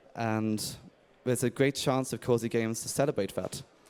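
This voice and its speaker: A man with an English accent and medium pitch, at a moderate pace, in a very clean recording with a silent background. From England. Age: 30s. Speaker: indie game developer. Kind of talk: conference talk. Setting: stage with audience.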